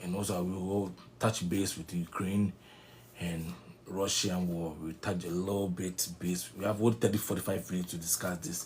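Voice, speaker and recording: At a moderate pace, a man speaks in a very deep, low, somewhat breathy voice with fairly even intonation. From Ghana. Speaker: online news commentator. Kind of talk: political commentary monologue. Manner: halting, with fillers and restarts.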